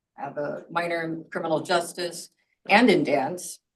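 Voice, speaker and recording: An ordinary speaking voice moves along at a fairly slow pace. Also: woman. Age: 60s. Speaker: doctoral student and counselor. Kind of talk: self-introduction in video call.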